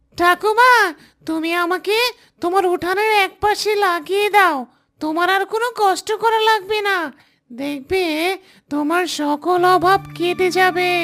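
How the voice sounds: A cartoonish character voice with an extremely high pitch and a fairly slow pace.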